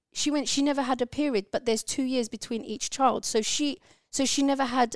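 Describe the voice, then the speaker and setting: A fairly quick pace in a London accent. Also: woman, dry, close sound with no echo. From London, England (born in Turkey). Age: 30s. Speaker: podcast host's sister. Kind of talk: casual chat.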